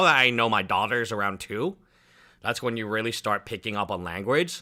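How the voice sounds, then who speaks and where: A man speaks at a fairly quick pace in a fairly low pitch with a bright, sharp tone. The recording is very clean, with a silent background. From US, moved from China at two and a half. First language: Chinese. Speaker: lawyer and streamer. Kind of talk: casual live stream commentary. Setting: live stream. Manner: casual with many fillers.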